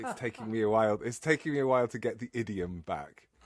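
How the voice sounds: Very wide pitch swings in a northern English accent. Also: man.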